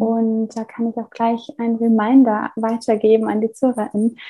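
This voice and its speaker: Somewhat breathy and fairly high, a woman's voice carries a dark, mellow tone and monotone, flat intonation at a moderate pace. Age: 20s. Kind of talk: interview.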